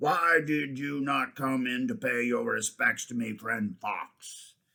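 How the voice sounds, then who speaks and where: In a growling, put-on character voice, the speaker goes at a fairly slow pace. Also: man, medium pitch for a man. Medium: read story. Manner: commanding, roaring.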